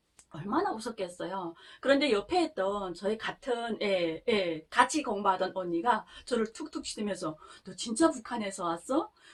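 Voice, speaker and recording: A woman talks at a moderate pace with lively intonation and big swings in loudness. Noticeable background noise sits behind her. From North Korea. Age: 30s. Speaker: North Korean defector vlogger. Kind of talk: casual storytelling monologue.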